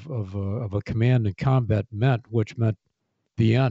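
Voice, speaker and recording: This man speaks with an American accent at a moderate pace. His voice is somewhat breathy, with a medium pitch and ordinary pitch variation. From US Midwest, Kankakee, Illinois. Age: 70s. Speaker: retired military general. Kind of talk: interview storytelling. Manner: halting, many fillers.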